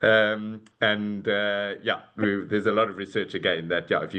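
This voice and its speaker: A man with a medium-pitched voice and a South African accent. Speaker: corporate talent and leadership executive. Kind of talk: webinar fireside chat. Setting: video call. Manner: hesitant, many fillers.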